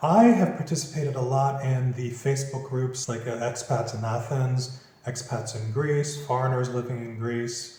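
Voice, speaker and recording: At a fairly slow pace, a man talks in a relaxed tone with medium pitch and monotone, flat intonation over noticeable background noise. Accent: Philadelphia. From Philadelphia, USA. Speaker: property finder, business owner. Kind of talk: interview answer. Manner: casual, relaxed.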